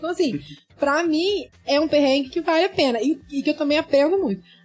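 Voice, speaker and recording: Here a woman speaks with a high pitch. Her pace is fairly quick. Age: 30s. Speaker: medical student. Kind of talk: casual chat.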